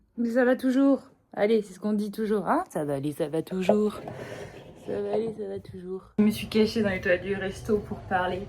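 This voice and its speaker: Over noticeable background noise, a woman speaks at a moderate pace. She has a French accent. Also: medium pitch for a woman, ordinary pitch variation. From France. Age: young. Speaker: lifestyle vlogger. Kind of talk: vlog monologue. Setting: restaurant toilets. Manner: hesitant, many fillers.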